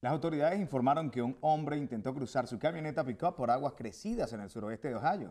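Speaking very fast, a man uses lively intonation at a fairly high pitch. His tone is dark and mellow, and the background is quiet. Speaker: news anchor. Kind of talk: news reading. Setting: studio. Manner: formal, brisk and steady broadcast delivery. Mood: calm, formal. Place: studio. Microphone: lapel.

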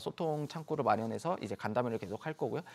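A man speaks with lively intonation. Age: young. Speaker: labor union leader; guest. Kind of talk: news interview. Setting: studio. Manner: halting, many fillers. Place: studio. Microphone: lapel.

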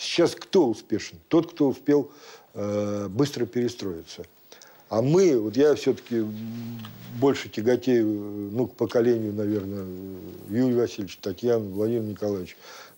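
A man speaks at a moderate pace in a dark, mellow tone, with ordinary pitch variation and long, frequent pauses. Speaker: rabbit farmer. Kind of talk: studio discussion. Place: studio.

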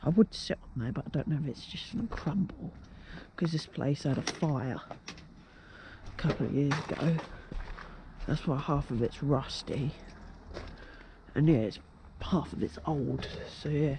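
The speech comes at a fairly slow pace with long, frequent pauses, in a dry sound with no echo and noticeable background noise. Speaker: urban explorer vlogger. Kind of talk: casual vlog chat. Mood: excited, curious. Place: open country. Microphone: phone near.

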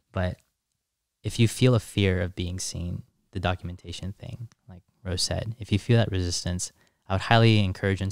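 A man with a very deep, low voice speaks at a fairly quick pace and with fairly even intonation, the sound dry with no echo over a quiet background. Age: 20s. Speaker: content creator and coach; content creator, coach. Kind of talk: casual chat. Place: studio. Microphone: studio mic.

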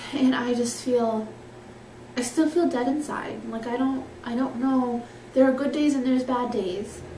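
A woman speaks at a moderate pace with a fairly high pitch and fairly even intonation. Her tone is dark and mellow, and the room echo is audible.

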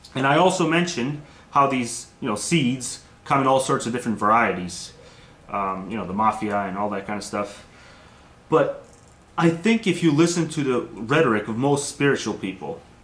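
A man at a moderate pace, with audible room echo. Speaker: video blogger. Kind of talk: casual vlog argument. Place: home room. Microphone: webcam.

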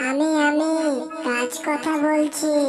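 This cartoonish character voice is squeaky and high, delivered with monotone, flat intonation. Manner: kind, soothing.

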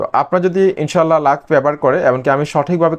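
A man talks in a normal speaking voice. It sits fairly high in pitch with ordinary pitch variation. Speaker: YouTube growth service seller. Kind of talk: sales pitch.

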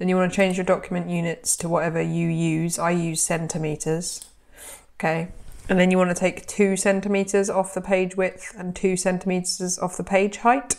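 A woman speaks with a British accent at a moderate pace. Her intonation is monotone and flat. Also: medium pitch for a woman. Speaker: sewing content creator and pattern designer. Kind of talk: tutorial. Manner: casual, friendly.

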